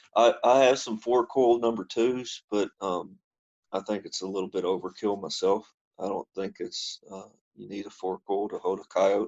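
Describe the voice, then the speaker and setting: At a moderate pace, a man with a Kentucky accent talks with big swings in loudness. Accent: Kentucky Southern US. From Kentucky, US. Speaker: trapper. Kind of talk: casual interview chat. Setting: internet call. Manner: hesitant, many fillers.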